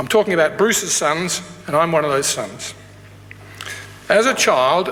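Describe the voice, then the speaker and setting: Fairly quick and fairly high in pitch, a man talks with an Australian accent. Room echo is audible, along with noticeable background noise. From Australia, Tasmania. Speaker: graduation speaker, academic. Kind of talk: ceremonial speech. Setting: graduation ceremony hall with audience.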